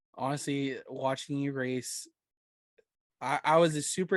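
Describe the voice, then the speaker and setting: A man's unremarkable speaking voice at a medium pitch, fairly even in intonation, against a quiet background. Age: 20s. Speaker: podcast host. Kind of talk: casual chat.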